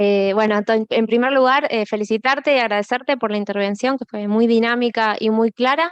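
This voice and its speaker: At a moderate pace, a woman with an Argentine accent talks with fairly even intonation in a dry, close sound with no echo. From Argentina. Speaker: academic audience member. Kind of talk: audience question. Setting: conference with audience. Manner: hesitant, many fillers.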